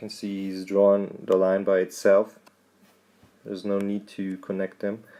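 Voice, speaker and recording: A man speaks with a German accent at a fairly slow pace. His intonation is monotone and flat. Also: big swings in loudness. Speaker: drone videographer. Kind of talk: tutorial. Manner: halting.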